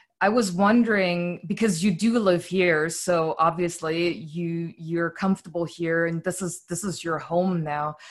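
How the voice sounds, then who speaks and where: Fairly slow, fairly even speech in a German accent with hardly any pauses. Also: woman, fairly low pitch for a woman. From East Berlin, Germany. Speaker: podcast host. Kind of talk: casual interview.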